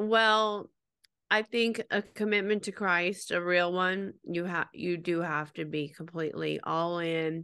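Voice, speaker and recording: A woman speaks at a fairly slow pace in a fairly low pitch, her tone bright and sharp, her intonation fairly even, over a quiet background. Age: 40s. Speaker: podcast co-host. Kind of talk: casual chat.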